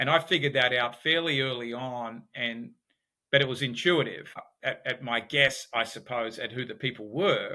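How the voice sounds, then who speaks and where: A man with an Australian accent, speaking at a moderate pace. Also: medium pitch for a man, ordinary pitch variation. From Australia, Sydney. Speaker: business founder and behavioral economics expert. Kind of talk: podcast interview.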